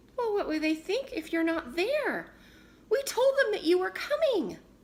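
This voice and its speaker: A woman puts on a squeaky character voice at an extremely high pitch. Her pitch swings very widely as she speaks at a moderate pace. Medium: read story.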